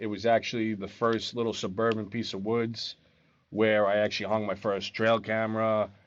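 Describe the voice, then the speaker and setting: Over a quiet background, a man with a New York accent speaks at a moderate pace in a fairly low pitch. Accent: New York accent, noticeable. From Long Island, New York. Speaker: experienced bowhunter, urban deer management. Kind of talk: casual interview chat.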